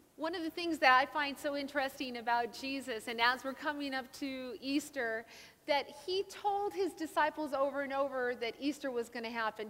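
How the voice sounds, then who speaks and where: Projecting her voice, a woman speaks at a moderate pace. Her pitch varies in an ordinary way. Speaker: guest preacher. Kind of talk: sermon. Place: church.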